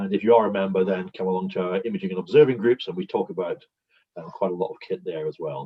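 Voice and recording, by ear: A man talks with a slightly husky edge to his voice.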